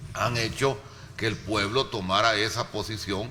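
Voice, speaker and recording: With an animated tone, a man talks at medium pitch and a fairly slow pace amid noticeable background noise and audible room echo. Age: 60s. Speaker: political commentator. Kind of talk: panel debate.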